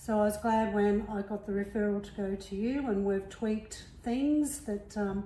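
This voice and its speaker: A woman speaks at a moderate pace in an Australian accent, with medium pitch and fairly even intonation. She barely pauses at all. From Melbourne, Australia. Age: 60s. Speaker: retiree and CrossFit athlete. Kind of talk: casual interview.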